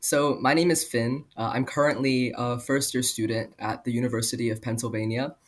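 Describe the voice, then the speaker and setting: Recorded very cleanly with a silent background, a man with an unremarkable speaking voice talks at medium pitch and a moderate pace, with fairly even intonation. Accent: Canadian. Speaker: university student. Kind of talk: podcast interview.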